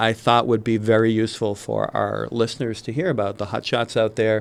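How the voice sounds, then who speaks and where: Speaking at a fairly quick pace, a man has a Massachusetts accent and a medium pitch. The background is quiet. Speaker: podcast co-host. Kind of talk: casual podcast chat.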